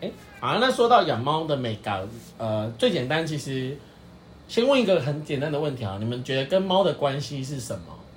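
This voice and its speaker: Fairly quick, very widely swinging speech from a man with a fairly high pitch, with audible room echo. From Taiwan, Pingtung. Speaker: podcast co-host, dog owner. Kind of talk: casual chat.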